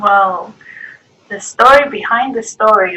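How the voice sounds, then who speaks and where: This woman has a Greek accent and a fairly high pitch. Her tone is bright and sharp, with ordinary pitch variation. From Greece. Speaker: artist. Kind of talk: interview. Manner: halting.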